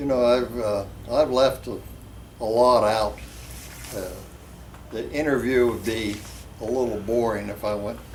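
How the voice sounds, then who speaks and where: Audible room echo surrounds a man speaking at medium pitch with fairly even intonation. His pace is fairly slow, broken by long, frequent pauses. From West Virginia. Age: 80s+. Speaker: drag racer. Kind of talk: interview.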